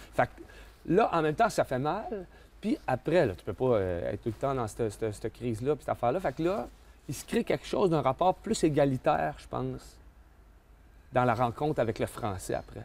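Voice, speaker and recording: Speaking with a Quebec accent, a man talks at a fairly quick pace, breaking often into long pauses while his loudness rises and falls sharply. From Quebec, Canada. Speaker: storyteller. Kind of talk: interview answer. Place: street.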